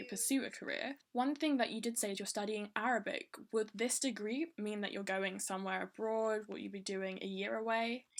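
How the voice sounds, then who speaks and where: In an ordinary speaking voice, a woman talks at a moderate pace with hardly any pauses, her pitch fairly high and her intonation fairly even. The recording is very clean, with a silent background. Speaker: podcast host. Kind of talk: podcast interview.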